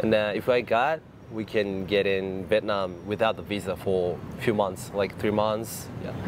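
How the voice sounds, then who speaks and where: At a fairly slow pace and with fairly even intonation, a man speaks over noticeable background noise. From Japan, Tokyo. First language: Japanese. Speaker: business owner. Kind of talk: street interview. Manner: halting.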